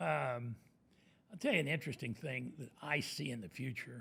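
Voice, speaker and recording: With lively intonation and some vocal fry, a man speaks at medium pitch and a moderate pace. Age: 80s+. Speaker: commercial real estate broker. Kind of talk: podcast interview.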